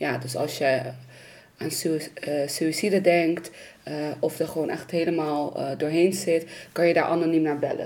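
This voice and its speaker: Speech comes at a moderate pace with fairly even intonation and long, frequent pauses. Noticeable background noise and audible room echo surround it. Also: woman, fairly low pitch for a woman. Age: 20s. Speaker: youth psychiatry worker. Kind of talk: personal testimony.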